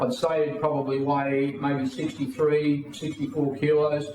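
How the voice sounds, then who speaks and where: A man with an Australian accent speaks at a fairly high pitch and moderate pace with fairly even intonation. Audible room echo and noticeable background noise surround him. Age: 60s. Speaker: political party leader. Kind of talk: interview.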